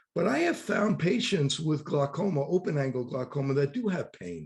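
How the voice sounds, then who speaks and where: In a New York accent, a man with a fairly high pitch talks at a moderate pace with lively intonation. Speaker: optometrist and podcast host. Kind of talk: interview.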